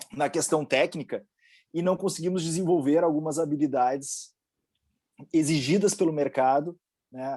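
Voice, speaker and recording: Over a quiet background, a man with a dark, mellow tone and fairly high pitch speaks at a moderate pace with ordinary pitch variation. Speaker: engineering panel moderator. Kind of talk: panel discussion.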